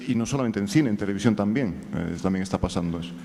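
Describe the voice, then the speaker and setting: Amid noticeable background noise, a man with a Galician accent talks at a very fast pace. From Galicia, Spain. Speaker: screenwriter. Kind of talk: audience question at panel. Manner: hesitant, many fillers.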